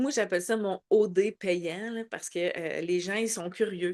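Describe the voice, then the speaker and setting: A woman with a Quebec accent speaks at a very slow pace against a quiet background. Her voice has a medium pitch and ordinary pitch variation. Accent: Québécois French. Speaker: network marketing team leader. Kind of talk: online training session. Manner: loud.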